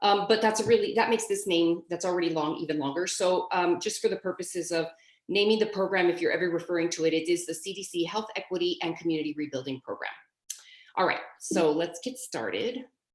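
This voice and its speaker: A woman talks at a very fast pace. Her pitch shows ordinary variation. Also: medium pitch for a woman. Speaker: project manager, trainer. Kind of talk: training webinar. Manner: informal, filler-heavy.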